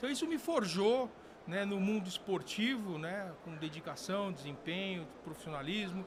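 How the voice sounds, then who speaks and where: Noticeable background noise and audible room echo surround a man with a high voice. He speaks at a moderate pace with lively intonation. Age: 60s. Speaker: sport shooting veteran and firearms company figure. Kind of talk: podcast interview. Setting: convention event. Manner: halting, many fillers.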